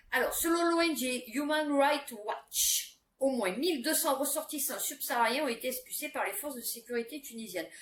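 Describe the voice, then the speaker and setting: A woman with a high voice talks at a moderate pace with hardly any pauses, her pitch varying in an ordinary way. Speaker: YouTuber commenting on news; adult student. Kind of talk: casual news commentary with reading aloud. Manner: chatty, many fillers.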